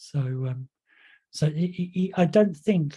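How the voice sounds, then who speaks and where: The voice moves at a fairly slow pace, with a dark, mellow tone and a somewhat breathy quality. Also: man. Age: 60s. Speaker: hypnotherapy trainer. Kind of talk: lecture. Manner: hesitant, many fillers.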